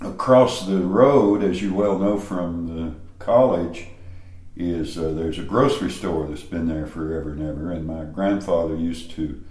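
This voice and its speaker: Over noticeable background noise, a man with a very deep, low pitch speaks at a moderate pace with ordinary pitch variation. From East Tennessee (Greeneville). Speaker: cookbook author and gardening teacher. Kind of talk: interview. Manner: calm.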